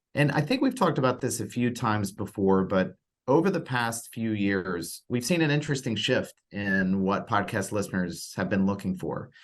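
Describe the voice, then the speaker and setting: With an ordinary speaking voice, a man talks at a moderate pace and medium pitch, his intonation lively and hardly any pauses between words. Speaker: podcast network executive and interview host. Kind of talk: podcast interview host talk.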